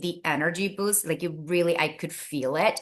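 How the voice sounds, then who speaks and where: A woman with a Spanish accent speaks in an animated tone at medium pitch. Her tone is bright and sharp, and the background is quiet. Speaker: wellness product promoter. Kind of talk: casual chat.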